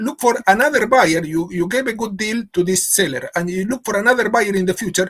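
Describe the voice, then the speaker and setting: With lively intonation and a high pitch, a man speaks in a dry, close sound with no echo. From Argentina. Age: 50s. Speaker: business consultant and professor. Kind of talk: podcast interview.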